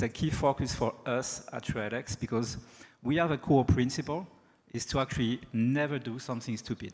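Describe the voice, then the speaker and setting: A man speaks with a French accent at a moderate pace. His pitch is medium. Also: ordinary pitch variation. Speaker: sales executive, keynote speaker. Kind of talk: keynote speech. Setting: stage with audience.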